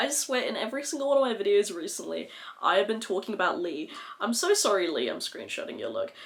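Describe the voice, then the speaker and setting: Very fast speech with an Australian accent, over noticeable background noise. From Western Australia. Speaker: beauty vlogger. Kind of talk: makeup tutorial, casual chat. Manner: animated.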